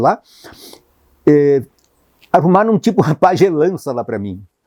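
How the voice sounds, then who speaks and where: The tone is dark and mellow, the sound dry and close with no echo, and the pace moderate. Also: man. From Rio Grande do Sul, Brazil (rural interior). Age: 80s+. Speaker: photographer. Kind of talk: life story interview. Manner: halting, many false starts and repetitions.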